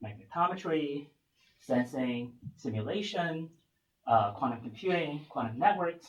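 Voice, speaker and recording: With lively intonation, a man with a fairly high pitch and a somewhat breathy voice speaks at a fairly slow pace, leaving long, frequent pauses. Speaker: physics researcher. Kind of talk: lecture.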